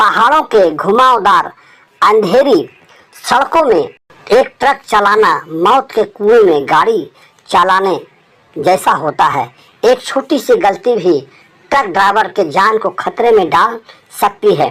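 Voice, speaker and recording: A man puts on a character voice with high pitch. He speaks at a fairly slow pace. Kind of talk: horror narration. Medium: read story. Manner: dramatic, suspenseful storytelling.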